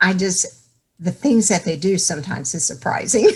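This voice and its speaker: A woman speaks in a Texan accent. Her pitch is fairly low and her intonation lively. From Texas, Dallas. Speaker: author. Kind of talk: interview.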